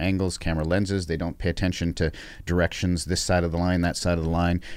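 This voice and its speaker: In a very clean recording with a silent background, a man talks at a very fast pace in a very deep, low pitch. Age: 50s. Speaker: stuntman. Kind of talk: casual interview. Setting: studio.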